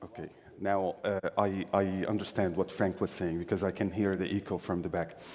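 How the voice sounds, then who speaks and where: This man has an Arabic accent. His voice sits fairly low. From Syria. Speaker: employment services director. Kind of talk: conference talk.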